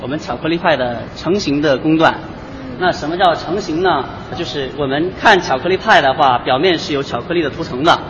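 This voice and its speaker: A man speaks in a fairly high voice. Noticeable background noise and audible room echo fill the recording. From China, ethnic Korean community. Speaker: factory manager. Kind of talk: guided factory tour explanation.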